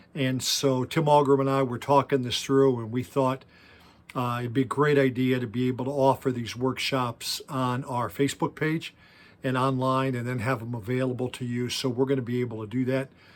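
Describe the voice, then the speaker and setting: A man with medium pitch, monotone, flat intonation and a moderate pace. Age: 60s. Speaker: youth pastor. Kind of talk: workshop talk.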